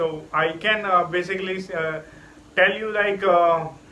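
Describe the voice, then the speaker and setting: Audible room echo surrounds a man whose voice is high in pitch. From India. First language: an Indian language. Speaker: English learner vlogger. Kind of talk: casual vlog monologue. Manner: halting, many fillers.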